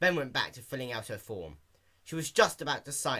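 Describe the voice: A plain read-aloud delivery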